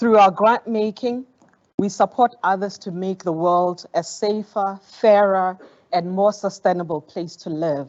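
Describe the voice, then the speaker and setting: A woman speaks fairly slowly with fairly even intonation. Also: medium pitch for a woman. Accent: Botswana. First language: Setswana. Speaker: foundation program director. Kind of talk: formal speech. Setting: conference auditorium. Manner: formal.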